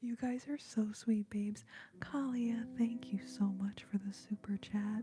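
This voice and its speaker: Her voice is somewhat breathy, with a dark, mellow tone, a fairly high pitch and ordinary pitch variation. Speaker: ASMR creator and singer. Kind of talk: casual live stream chat. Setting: live stream. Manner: quiet, not whispering.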